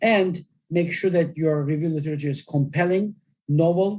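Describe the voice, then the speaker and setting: Here a man with a non-native accent speaks at a fairly high pitch. His tone is dark and mellow, with ordinary pitch variation. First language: not English. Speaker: journal editor giving webinar talk. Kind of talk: lecture. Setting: online webinar.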